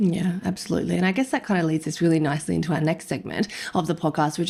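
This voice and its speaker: Fairly low pitch and a dark, mellow tone in a woman's voice. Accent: Australian. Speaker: nutrition podcast co-host, dietitian. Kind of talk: casual podcast chat. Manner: fast-talking.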